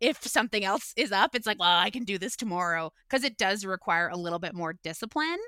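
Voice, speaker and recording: In a Canadian accent, a woman with a medium pitch and ordinary pitch variation speaks in a bright, sharp tone, on a very clean recording with a silent background and a dry, close sound with no echo. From Ontario, Canada (Guelph). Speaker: comedian and podcaster. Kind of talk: casual interview.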